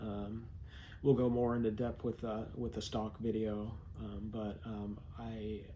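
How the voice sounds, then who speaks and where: With an American accent, a man talks at a medium pitch with fairly even intonation, and audible room echo surrounds his voice. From California. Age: 40s. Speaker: vlogger. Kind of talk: personal vlog monologue. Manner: halting, many fillers.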